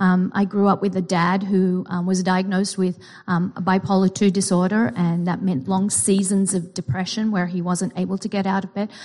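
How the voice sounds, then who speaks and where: Speaking at a moderate pace with hardly any pauses, a woman with a medium-pitched, somewhat breathy voice keeps her intonation fairly even against a quiet background. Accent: Australian. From Australia. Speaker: psychology teacher and therapist. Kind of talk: sermon.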